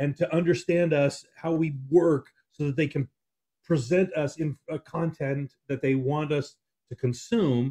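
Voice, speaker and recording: In an American accent, a man with a fairly high pitch and a dark, mellow tone talks at a moderate pace with ordinary pitch variation against a quiet background. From California. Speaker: producer and co-host; co-host. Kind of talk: casual political talk show. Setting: studio, in person. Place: home room. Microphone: video call.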